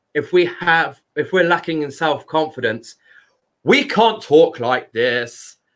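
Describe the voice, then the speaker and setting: A loud man with a high pitch and lively intonation, on a very clean recording with a silent background. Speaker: speaker giving a talk on chakras and voice.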